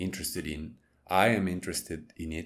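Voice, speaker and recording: A man with a non-native accent and a very deep, low pitch talks at a moderate pace. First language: not English. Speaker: YouTuber and comic book artist. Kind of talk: casual monologue. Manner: halting, many fillers.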